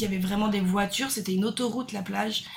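Over noticeable background noise, a woman speaks in a fairly high pitch with monotone, flat intonation. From France, Brittany. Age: 30s. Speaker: nurse and backpacker. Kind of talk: casual chat.

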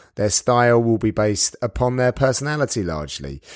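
A man with a British accent speaks at a moderate pace with lively intonation. The recording is very clean, with a silent background and a dry, close sound with no echo. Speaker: sports commentator. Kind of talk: podcast monologue.

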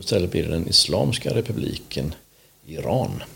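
Very wide pitch swings from a man, delivered at a moderate pace. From Småland, Sweden (Vetlanda). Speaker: podcast host. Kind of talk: casual chat.

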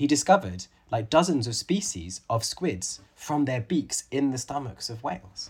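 His voice is somewhat breathy. This man's pitch swings very widely. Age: 30s. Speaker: author and conservation biologist. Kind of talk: interview.

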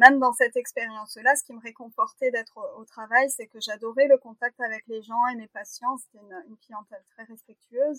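A woman with a high pitch talks at a fairly quick pace with fairly even intonation and big swings in loudness, in a dry, close sound with no echo. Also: hardly any pauses. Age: 30s. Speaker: veterinarian. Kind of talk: interview.

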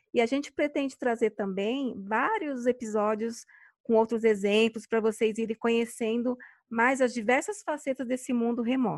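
A woman with an ordinary speaking voice and fairly high pitch talks at a moderate pace with ordinary pitch variation, recorded dry and close with no echo over a quiet background. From Brazil, São Paulo. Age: 40s. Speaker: podcast host, virtual assistant. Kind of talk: casual chat.

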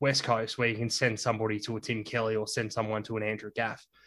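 A man with an Australian accent talks at a fairly quick pace. The recording is very clean, with a silent background. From Tasmania, Australia. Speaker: journalist. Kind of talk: casual chat.

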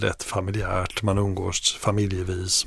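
This is a man's voice, fairly low in pitch. It sounds somewhat breathy. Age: 50s. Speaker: media executive and family business owner. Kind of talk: interview. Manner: halting.

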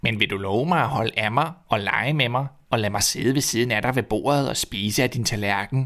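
Ordinary pitch variation in plain reading aloud

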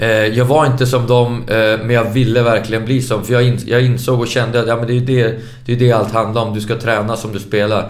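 Audible room echo surrounds a man speaking at a fairly quick pace, his medium-pitched voice monotone and flat in intonation. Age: 40s. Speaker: former professional footballer. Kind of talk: casual interview.

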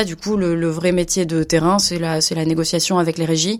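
A woman's fairly low voice in a monotone, flat intonation at a moderate pace. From France, Bordeaux. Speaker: media agency manager. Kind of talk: interview. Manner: halting, many hesitations.

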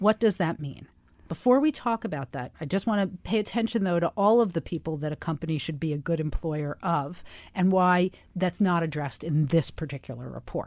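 In an ordinary speaking voice, a woman talks with lively intonation and a fairly low pitch. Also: very clean recording, silent background. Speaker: radio host; academic research director. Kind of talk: radio host patter, show intros, outros and interview. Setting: radio studio. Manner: polished, warm, upbeat broadcaster delivery.

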